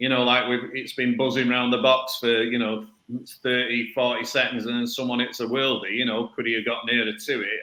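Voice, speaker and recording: A man with a Mancunian accent speaks at a medium pitch and a fairly quick pace in a monotone, flat intonation, with audible room echo. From northern England, Salford. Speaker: football coach and podcast panelist. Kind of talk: casual chat.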